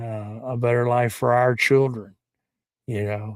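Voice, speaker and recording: Intonation stays monotone and flat as a man talks. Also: very clean recording, silent background. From Kentucky. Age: 60s. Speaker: live stream commentator on auditor community. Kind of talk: casual live stream commentary. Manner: halting, many fillers.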